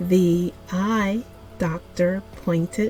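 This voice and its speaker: Over music in the background, a woman with an American accent speaks very slowly at a medium pitch. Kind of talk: language lesson read for repetition. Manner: slow, clear.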